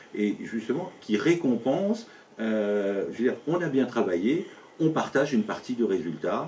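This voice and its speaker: His pitch swinging very widely around a medium level, a man speaks at a fairly slow pace. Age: 60s. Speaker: business owner and local election candidate. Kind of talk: interview. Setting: at his company premises. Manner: halting, many fillers and repetitions.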